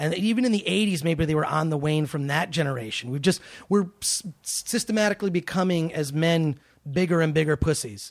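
A man with a fairly high pitch, lively intonation and a fairly quick pace, a plain, everyday voice. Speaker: podcast host and entertainment personality. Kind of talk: casual chat. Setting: studio.

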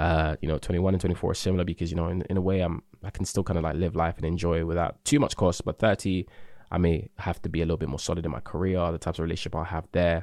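A man speaks at a very fast pace with a very deep, low pitch. His intonation stays fairly even against a quiet background. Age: 20s. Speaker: podcast host. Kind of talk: solo casual monologue. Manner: hesitant, many fillers.

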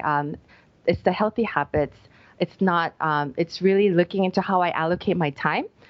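A normal speaking voice, very even in loudness, with fairly even intonation. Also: woman. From United States. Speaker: life coach. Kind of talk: interview conversation.

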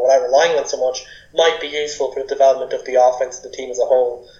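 Speaking at a very fast pace, a man talks with an Irish accent. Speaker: sports podcast co-host. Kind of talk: casual chat.

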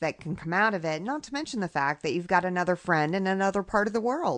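Over a quiet background, a woman speaks at a very fast pace. Her medium-pitched voice has lively intonation. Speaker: podcast host. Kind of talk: casual interview chat.

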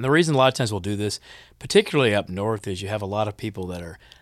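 A man with an American accent speaks at a fairly low pitch in a very clean recording with a silent background. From US Midwest, Kansas City, Missouri. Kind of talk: language lesson.

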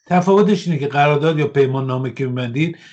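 A man with an unremarkable speaking voice talks at a fairly high pitch. His pitch varies in an ordinary way over a quiet background. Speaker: political analyst, head of an Iranian diaspora forum. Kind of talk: interview.

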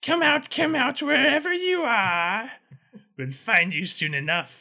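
A put-on character voice, fairly high and fairly slow, with very wide pitch swings. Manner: menacing, taunting.

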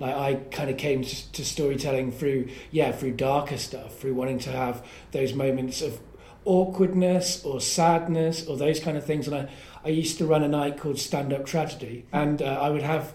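A man's fairly high voice in an English accent, at a moderate pace with fairly even intonation. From England. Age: 30s. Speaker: podcast host and storyteller. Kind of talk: casual chat. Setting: comedy club attic.

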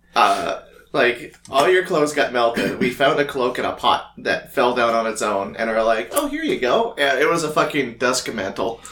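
A man's medium-pitched voice with lively intonation and hardly any pauses, over noticeable background noise. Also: moderate pace. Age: 20s. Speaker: podcast co-host, game master. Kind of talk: casual chat.

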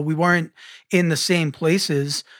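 An ordinary speaking voice comes through on a very clean recording with a silent background. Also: man. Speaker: podcast host, musician. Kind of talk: casual podcast interview.

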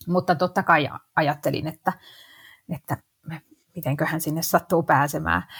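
A woman with a very deep, low pitch and vocal fry speaks at a moderate pace in a monotone, flat way with long, frequent pauses, the sound dry and close with no echo on a very clean recording with a silent background. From Finland, Helsinki. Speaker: actress and investing blogger. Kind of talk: podcast interview.

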